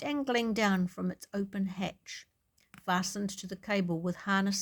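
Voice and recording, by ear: Someone is reading aloud in a natural voice, and the background stays quiet.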